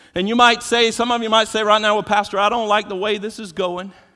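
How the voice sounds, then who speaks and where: A man with an American accent speaks in a raised, projected voice, his tone animated, bright and sharp. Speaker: pastor. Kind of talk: sermon. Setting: church. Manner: animated, exhortative; repeats words when starting sentences.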